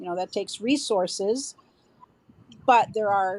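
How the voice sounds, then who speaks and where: A woman has a normal speaking voice with fairly high pitch and ordinary pitch variation. She talks at a fairly slow pace. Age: 60s. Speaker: CrossFit coach. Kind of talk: interview answer.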